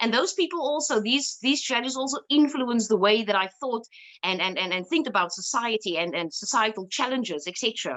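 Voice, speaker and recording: A woman with a Cape Town accent speaks at a fairly quick pace and a fairly high pitch. Her pitch swings very widely. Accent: Cape Town South African English. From South Africa, Cape Town (Cape Flats, Bellville). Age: 30s. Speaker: lawyer and activist. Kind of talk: personal talk. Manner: halting, many fillers.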